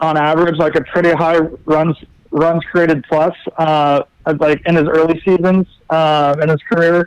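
A man's high-pitched voice at a moderate pace, dry and close with no echo. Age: 20s. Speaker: sports writer, podcast panelist. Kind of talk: casual sports chat. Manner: halting, many false starts and fillers.

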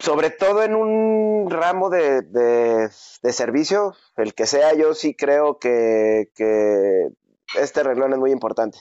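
A man talks at a very slow pace. His pitch swings very widely while his loudness stays very even. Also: fairly high pitch for a man. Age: 40s. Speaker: fitness studio owner. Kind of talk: interview. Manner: hesitant, many fillers.

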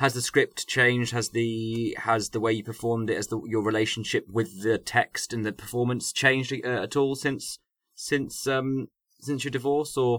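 A plain, everyday voice from a man of medium pitch, with fairly even intonation and a dry, close sound with no echo. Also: moderate pace, very clean recording, silent background. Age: 30s. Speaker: podcast host and performer. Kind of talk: casual chat.

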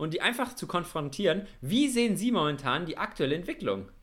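This man speaks very fast in a high pitch, with very wide pitch swings. His tone is bright and sharp. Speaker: podcast co-host, university student. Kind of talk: casual chat. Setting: remote call, connected separately.

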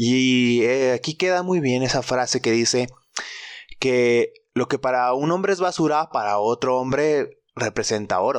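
Medium-pitched man at a fairly slow pace, with ordinary pitch variation and very even loudness. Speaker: podcast host. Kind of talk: casual solo monologue. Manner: animated.

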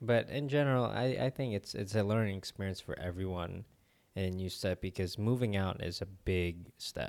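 In a normal speaking voice, a man talks at a moderate pace with a fairly low pitch and ordinary pitch variation, on a very clean recording with a silent background. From Philippines, moved to US at nine. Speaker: entrepreneur and lighting technician. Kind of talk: casual chat. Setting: home studio.

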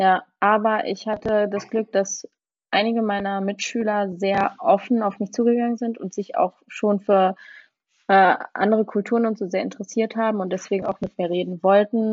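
In a normal speaking voice, a woman talks at a moderate pace with medium pitch and fairly even intonation. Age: 20s. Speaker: law student, former exchange student. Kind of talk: casual interview.

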